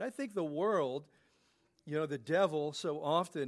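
A plain, everyday voice from a man, fairly high in pitch, medium in speed, with normal pitch movement. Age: 60s. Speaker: pastor. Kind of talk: sermon.

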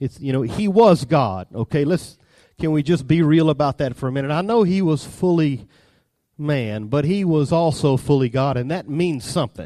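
Over a quiet background, a man with a Southern US accent speaks at a moderate pace in a dark, mellow, fairly high voice with lively intonation. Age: 30s. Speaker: preacher. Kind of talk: sermon.

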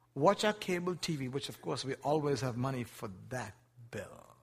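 Somewhat breathy and fairly high-pitched, a man speaks with very wide pitch swings. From Asia. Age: 50s. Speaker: missionary preacher. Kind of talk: sermon. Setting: church.

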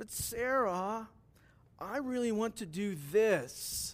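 This is a put-on character voice, fairly high and whiny. It moves at a very slow pace. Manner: whining.

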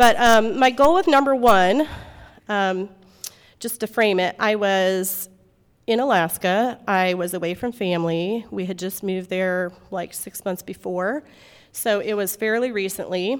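A woman with an American accent and an unremarkable speaking voice, medium-pitched with ordinary pitch variation, at a fairly slow pace. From US Midwest. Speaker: moms' group speaker. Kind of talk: inspirational talk. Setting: meeting room with audience.

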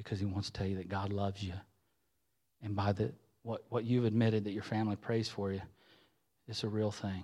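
A man with an Ohio accent and fairly low pitch, fairly quick yet with long, frequent pauses, in a very clean recording over a silent background. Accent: Midland US, rural Ohio. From southwest Ohio, US (Xenia). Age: 40s. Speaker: lay preacher, former church music leader. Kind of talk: sermon. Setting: church with congregation. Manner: animated, conversational.

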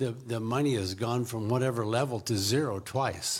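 Fairly even in intonation, a man with an American accent speaks at a medium pitch in a normal speaking voice. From US Pacific Northwest. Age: 60s. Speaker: missionary. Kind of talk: interview. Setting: church.

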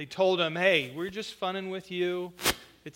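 What you hear is an unforced reading voice.

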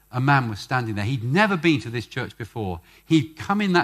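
The speaker uses plain reading aloud.

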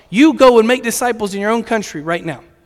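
With a Virginia accent, a man talks using ordinary pitch variation. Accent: Virginia American. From Virginia, US. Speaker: missions director. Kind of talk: sermon. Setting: church stage with audience.

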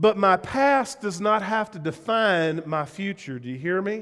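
A man talks with a Southern US accent at a fairly slow pace. His pitch variation is ordinary, and the recording is very clean with a silent background. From US South. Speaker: pastor. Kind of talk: sermon. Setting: church.

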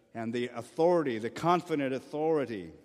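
A man talks at a moderate pace with a fairly high pitch and ordinary pitch variation. It is an unremarkable speaking voice. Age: 50s. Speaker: pastor. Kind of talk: sermon.

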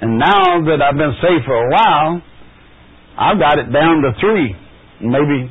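A man with a fairly high pitch uses lively intonation at very even loudness, leaving long, frequent pauses. Noticeable background noise is present. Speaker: guest speaker teaching a Bible lesson. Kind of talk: Bible lesson. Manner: halting.

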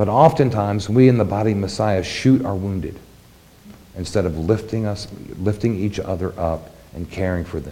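In a room with audible echo, a man speaks at a moderate pace in a fairly low, dark and mellow, somewhat breathy voice, with ordinary pitch variation and big swings in loudness. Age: 40s. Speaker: congregation elder giving the sermon. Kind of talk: sermon. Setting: congregation service.

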